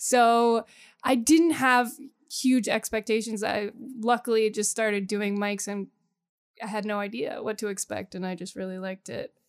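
With an American accent and an ordinary speaking voice, this speaker talks at a moderate pace with fairly even intonation on a very clean recording with a silent background. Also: woman, fairly high pitch for a woman. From US Northeast, Poconos, Pennsylvania. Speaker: comedian. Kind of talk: casual interview chat.

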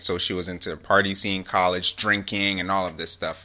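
At a fairly quick pace, a man talks in an unremarkable speaking voice pitched fairly low. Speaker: podcast co-host. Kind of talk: casual chat.

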